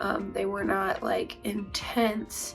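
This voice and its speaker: Music plays in the background as a woman speaks. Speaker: vlogger. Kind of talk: casual talk to camera.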